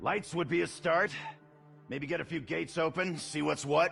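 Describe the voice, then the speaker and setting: This man puts on a raspy character voice at a fairly high pitch. He speaks at a moderate pace over clear music in the background. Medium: video game. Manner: sarcastic, casual.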